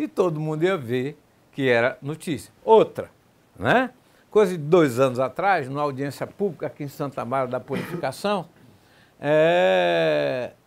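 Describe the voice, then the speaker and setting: A man speaks at a fairly slow pace while his pitch makes very wide swings. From Bahia, Brazil (Valença); Bahia, Brazil. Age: 60s. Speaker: political journalist. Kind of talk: TV debate. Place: studio. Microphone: lapel.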